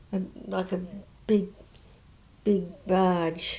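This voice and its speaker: Very slowly and in a monotone with flat intonation, a woman speaks in a dark, mellow tone. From Southern England. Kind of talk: interview answer. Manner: hesitant, halting.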